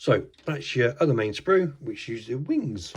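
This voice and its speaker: Using a put-on character voice, a man sounds raspy at a fairly high pitch. His pace is moderate. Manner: explaining, instructional.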